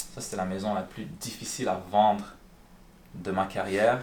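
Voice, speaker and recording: A man talks at a very slow pace with a fairly low pitch. Audible room echo surrounds his voice. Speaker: real estate broker. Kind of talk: live stream with phone calls. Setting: live stream. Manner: casual, conversational.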